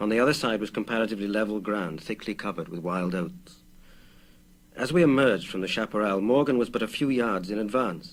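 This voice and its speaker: This man talks at a fairly quick pace in a medium pitch. His intonation is lively. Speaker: actor. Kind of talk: audiobook reading of a short story.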